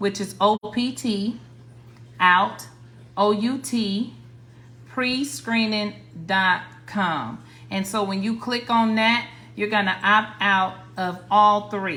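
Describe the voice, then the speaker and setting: A woman with an American accent speaks at a very slow pace with long, frequent pauses. Her medium pitch shows ordinary variation, and her tone is bright and sharp. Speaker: credit repair coach, livestreamer. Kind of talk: livestream tutorial. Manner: casual, repetitive with restarts.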